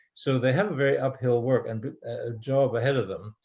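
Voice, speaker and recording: The background is quiet as a man speaks at a fairly quick pace. His voice is somewhat breathy. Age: 80s+. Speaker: author. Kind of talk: interview Q&A. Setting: video call. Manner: halting.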